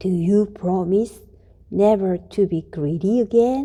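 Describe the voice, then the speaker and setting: Put-on character voice, fairly slow in pace. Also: woman, medium pitch for a woman. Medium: read story.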